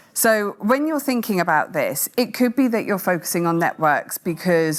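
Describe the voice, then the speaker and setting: Loud and with very wide pitch swings, a woman's voice rises and falls sharply. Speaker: masterclass moderator. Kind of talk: interactive masterclass presentation.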